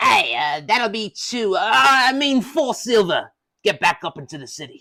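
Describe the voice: Using a put-on character voice, the speaker goes at a moderate pace with a fairly high pitch.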